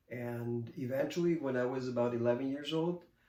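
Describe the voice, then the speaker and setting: This man talks at a fairly slow pace with a medium pitch, and audible room echo surrounds his voice. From Spain (Catalonia). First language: Catalan. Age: 50s. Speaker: artist and author. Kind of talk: interview. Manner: halting.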